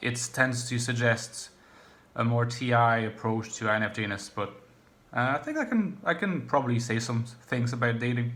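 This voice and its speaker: This man keeps to a moderate pace at a medium pitch. His intonation stays monotone and flat. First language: French. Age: 30s. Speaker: YouTuber on personality types and philosophy. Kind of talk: casual vlog monologue. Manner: halting, many fillers.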